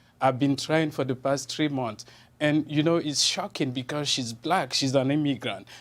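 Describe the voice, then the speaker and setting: A man's fairly high voice with a Cameroonian accent, fairly even intonation and a moderate pace, in a very clean recording over a silent background. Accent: non-American, Cameroonian. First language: French. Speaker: journalist. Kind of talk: TV interview. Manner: halting, repetitive.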